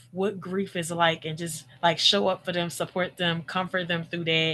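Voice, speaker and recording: A plain, everyday voice is heard. Its intonation is fairly even. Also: woman. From Philadelphia, US. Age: 30s. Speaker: former caregiver and podcaster. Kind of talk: testimony.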